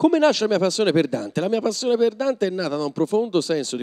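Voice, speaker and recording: A man's animated, very fast delivery with very wide pitch swings against a quiet background. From Tuscany. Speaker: comedian and actor; comedian, actor. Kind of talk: live stage interview. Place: hall. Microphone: handheld.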